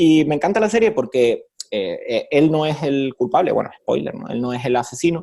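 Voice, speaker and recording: This man speaks with a Canarian accent at a moderate pace, his fairly high, dark and mellow voice moving through very wide pitch swings. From Canary Islands, Spain. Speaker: professor. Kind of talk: interview. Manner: conversational, hesitant fillers.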